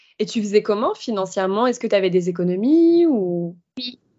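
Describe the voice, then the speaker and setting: At a moderate pace, a woman uses a normal speaking voice with a medium pitch and lively intonation. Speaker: podcast host. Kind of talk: casual interview.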